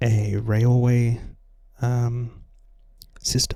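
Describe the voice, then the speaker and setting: The voice is soft-spoken and somewhat breathy. Its tone is dark and mellow. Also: man. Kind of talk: soft-spoken ASMR gaming commentary.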